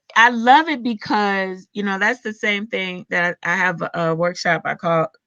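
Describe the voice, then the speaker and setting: Bright and sharp in tone, a woman speaks at a medium pitch and moderate pace with ordinary pitch variation. The sound is dry and close with no echo, over a quiet background. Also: hardly any pauses. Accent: Southern US. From US South. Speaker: doula and podcast host. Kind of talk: casual chat.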